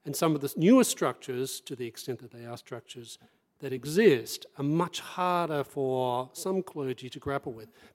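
A man talks in an unremarkable speaking voice at a fairly high pitch and moderate pace. His pitch varies in an ordinary way, while his loudness swings widely. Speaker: think tank research director and panelist. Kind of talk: panel talk, public speech. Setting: live event with audience.

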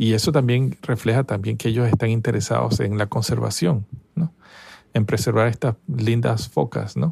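Using vocal fry, a man talks at a medium pitch and a moderate pace with ordinary pitch variation. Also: very even loudness, dry, close sound with no echo. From Venezuela, Caracas. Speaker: scientist. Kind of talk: interview. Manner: halting, with fillers.

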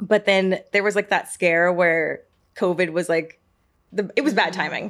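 A woman with a plain, everyday voice and an American accent speaks at a moderate pace and medium pitch, her intonation fairly even, in a very clean recording with a silent background. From US South, Georgia (Marietta). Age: 30s. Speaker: podcast host. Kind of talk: casual chat. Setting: studio.

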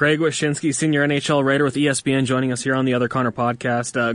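The speaker is a man at a moderate pace and medium pitch. His is an unremarkable speaking voice. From Edmonton, Canada. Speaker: hockey podcast host. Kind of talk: casual interview.

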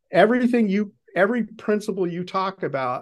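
Over a quiet background, a man with an American accent talks at a fairly quick pace with ordinary pitch variation. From US Northeast, Boston. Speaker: podcast host. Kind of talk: interview. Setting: video call.

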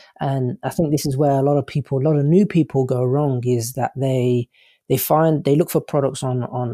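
In an English accent, a man with a fairly high pitch and a dark, mellow tone talks at a moderate pace with ordinary pitch variation, recorded very cleanly against a silent background with a dry, close sound and no echo. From United Kingdom. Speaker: online business coach and drop shipper. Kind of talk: interview chat. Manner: casual, halting with fillers.

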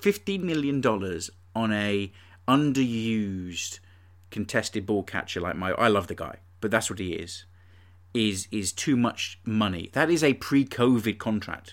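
In an English accent, a man speaks at a fairly slow pace with a fairly low pitch. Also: ordinary pitch variation. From England. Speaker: podcast host. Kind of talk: casual chat. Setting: remote recording.

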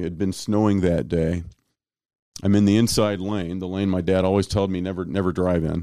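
A man's very deep, low voice with an American accent, dark and mellow in tone, fairly even in intonation, at a fairly quick pace, in a very clean recording with a silent background. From US Midwest, Kansas City, Missouri. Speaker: pastor. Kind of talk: testimony. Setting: studio.

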